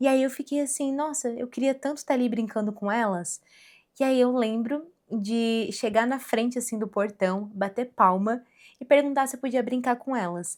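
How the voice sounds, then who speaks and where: A woman's high voice, with ordinary pitch variation, keeps a moderate pace. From Rio Grande do Sul, then Santa Catarina (southern Brazil). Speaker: podcaster. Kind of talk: personal storytelling monologue. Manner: casual, conversational.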